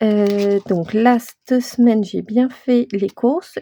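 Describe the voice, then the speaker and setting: A woman speaks at a very slow pace, her pitch fairly high and her tone dark and mellow. Her intonation is fairly even, and the sound is dry and close with no echo. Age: 40s. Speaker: budgeting vlogger. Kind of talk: casual vlog talk. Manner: hesitant, many filler sounds.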